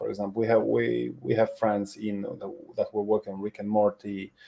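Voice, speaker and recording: A man with a Polish accent speaks at a moderate pace. His fairly low voice has a dark, mellow tone and ordinary pitch variation. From Poland. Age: 40s. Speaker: animation tutor. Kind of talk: webinar presentation.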